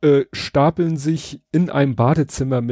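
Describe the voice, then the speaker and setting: In a dry, close sound with no echo, a man of medium pitch talks with a dark, mellow tone. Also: quiet background. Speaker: podcast co-host. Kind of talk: casual chat.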